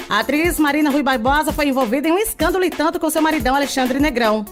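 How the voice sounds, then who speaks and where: Very fast, upbeat speech with lively intonation over music in the background. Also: woman. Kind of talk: entertainment gossip news presentation. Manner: upbeat, friendly.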